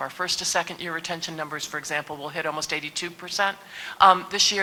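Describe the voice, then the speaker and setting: Against noticeable background noise, a woman with a fairly low voice speaks very fast with fairly even intonation. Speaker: university president. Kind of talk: panel discussion.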